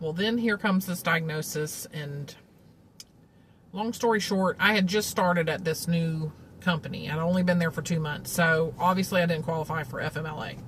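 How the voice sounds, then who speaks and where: With a Southern US accent, a woman speaks at a fairly low pitch. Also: ordinary pitch variation, moderate pace. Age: 40s. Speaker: vlogger, cancer patient. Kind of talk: casual monologue. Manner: conversational, many fillers.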